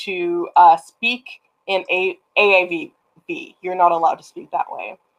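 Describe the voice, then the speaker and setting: A woman speaks fairly slowly with a Canadian accent and fairly even intonation. Her pitch is fairly low, and the background is quiet. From Canada. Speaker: writer; guest. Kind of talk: casual chat. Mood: reflective, personal. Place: home room. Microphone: video call.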